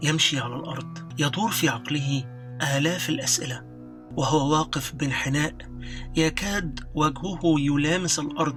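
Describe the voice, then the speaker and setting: Over music in the background, a man talks at a fairly slow pace in a fairly high pitch. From Egypt. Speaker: voice actor. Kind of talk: audiobook narration.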